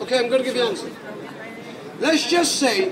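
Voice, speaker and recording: An extremely high-pitched man's voice with lively intonation against noticeable background noise. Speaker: street preacher. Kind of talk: open-air street preaching. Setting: outdoors. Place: street. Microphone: phone near.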